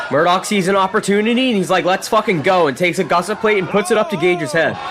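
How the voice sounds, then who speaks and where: Speaking at a very fast pace, a man with a high pitch keeps his loudness very even and his pitch variation ordinary, over noticeable background noise. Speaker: wrestling commentary YouTuber. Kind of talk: casual profane match recap narration.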